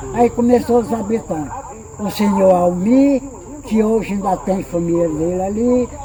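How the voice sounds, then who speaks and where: Ordinary pitch variation in fairly slow speech, noticeable background noise underneath. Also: man. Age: 80s+. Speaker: elderly local resident, retired rural worker. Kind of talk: interview, oral history. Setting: at his home.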